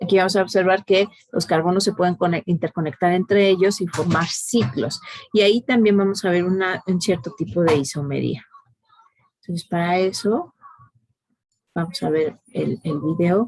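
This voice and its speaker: Her voice sits at a medium pitch, with pitch that varies in an ordinary way. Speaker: chemistry teacher. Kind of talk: online class lecture. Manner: slow; hesitant, many fillers.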